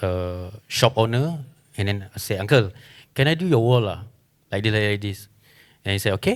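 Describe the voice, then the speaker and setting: In a very clean recording with a silent background, a man with a Malaysian accent speaks at a moderate pace in a fairly low voice, with ordinary pitch variation and long, frequent pauses. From Sarawak, Malaysia. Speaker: muralist. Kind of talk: panel discussion.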